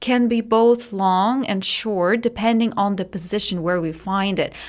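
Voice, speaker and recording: A woman with a Russian accent speaks very slowly at medium pitch with ordinary pitch variation, on a very clean recording with a silent background. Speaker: English teacher and methodologist. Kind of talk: casual interview chat.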